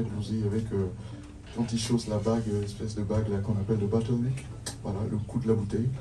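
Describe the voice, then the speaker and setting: A man with a non-native accent speaks at a fairly quick pace in a medium pitch, with audible room echo and noticeable background noise. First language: not French (speaking French). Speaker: band leader introducing musicians on stage. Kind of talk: live stage band introduction. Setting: stage with audience.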